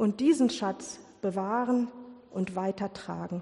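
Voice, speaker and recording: A woman's dark, mellow voice at a very slow pace, with ordinary pitch variation. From Ruhr area, Germany. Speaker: lay preacher. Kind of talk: sermon.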